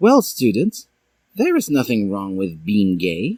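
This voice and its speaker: The recording is very clean, with a silent background. A man uses a put-on character voice at a fairly slow pace. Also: medium pitch for a man. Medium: read story. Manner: calm, friendly.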